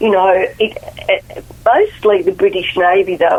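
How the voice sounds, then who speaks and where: Noticeable background noise runs under the recording. A woman with an Australian accent talks at a fairly slow pace. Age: 70s. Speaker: author. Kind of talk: radio interview.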